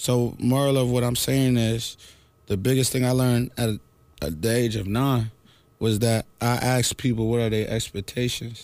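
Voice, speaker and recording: A man's normal speaking voice at a moderate pace, with fairly even intonation. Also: medium pitch for a man, very even loudness. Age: 20s. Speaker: radio host. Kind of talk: casual chat.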